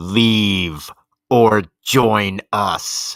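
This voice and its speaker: Growling in a put-on character voice, the speaker sounds dry and close, with no echo. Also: man. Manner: menacing.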